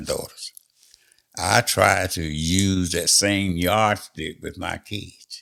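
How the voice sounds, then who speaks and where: This man's pitch is very deep and low. His intonation stays fairly even. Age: 80s+. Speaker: interview guest. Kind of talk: interview answer.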